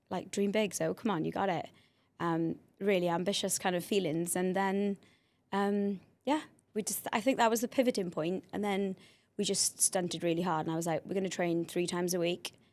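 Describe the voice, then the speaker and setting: Delivered at a fairly quick pace, the voice comes with a Welsh accent. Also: woman, medium pitch for a woman, fairly even intonation, very clean recording, silent background. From South Wales. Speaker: cheer programme founder and coach. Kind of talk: podcast interview.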